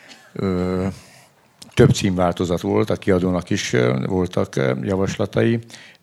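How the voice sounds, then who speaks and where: Very slow speech from a man with a very deep, low pitch, over noticeable background noise. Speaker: publisher and event moderator. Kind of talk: moderated book presentation on stage. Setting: festival stage with audience.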